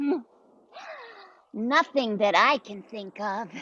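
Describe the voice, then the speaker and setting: A female-sounding voice puts on a character, pitched fairly high and delivered at a fairly slow pace. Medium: audio drama. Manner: stammering, hesitant.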